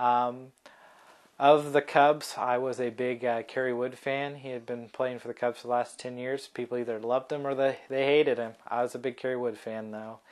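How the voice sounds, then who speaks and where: A man speaks in a monotone, flat way with an American accent. His pitch is medium and his pace moderate. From US Midwest, Kokomo, Indiana. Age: 20s. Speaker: college student. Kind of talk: personal video introduction. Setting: at home, in his room. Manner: halting, many fillers.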